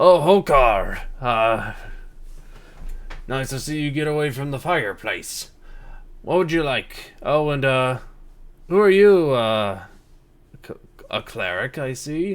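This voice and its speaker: A loud, booming, put-on character voice from a man, fairly high and fairly slow, with lively intonation and long, frequent pauses. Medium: actual play. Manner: friendly, hospitable.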